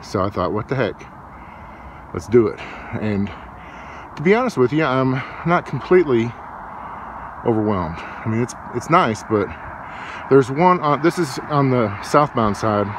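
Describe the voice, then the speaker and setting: Over noticeable background noise, a man speaks at a moderate pace with long, frequent pauses, the sound dry with no echo. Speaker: travel vlogger. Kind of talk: casual vlog chat. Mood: relaxed, mildly unimpressed. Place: open country. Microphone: phone near.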